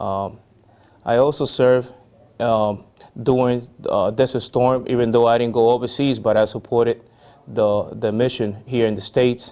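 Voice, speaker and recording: A man's voice with a Spanish accent, dark, mellow tone, and medium pitch, flat and monotone at a moderate pace. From Puerto Rico. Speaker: army veteran. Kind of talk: interview. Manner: halting, many fillers.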